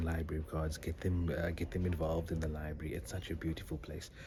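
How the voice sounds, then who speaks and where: Very fast whispering with vocal fry. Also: man. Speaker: doctor. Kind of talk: vlog. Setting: library.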